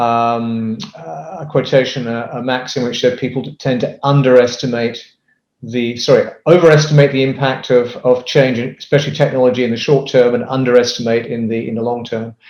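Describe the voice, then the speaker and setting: The tempo is medium. The intonation holds fairly even throughout. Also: man, medium pitch for a man. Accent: British. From UK. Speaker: business consultant. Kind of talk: interview. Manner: hesitant, many fillers.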